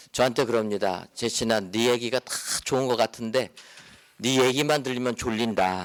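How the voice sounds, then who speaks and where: A man talks at a moderate pace with a medium pitch and fairly even intonation. Noticeable background noise runs under his voice. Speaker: pastor and lecturer. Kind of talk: lecture. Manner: calm, gentle.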